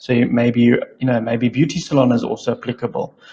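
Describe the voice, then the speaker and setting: This man talks at a fairly quick pace in a medium pitch, with fairly even intonation. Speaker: digital marketing trainer. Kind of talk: tutorial. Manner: monotone.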